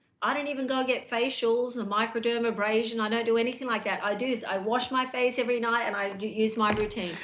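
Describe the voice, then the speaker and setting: With an Australian accent, a woman talks at a very fast pace with hardly any pauses in a fairly high, monotone, flat voice, with audible room echo and noticeable background noise. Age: 50s. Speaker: skincare business owner, host's wife. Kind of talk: sales pitch.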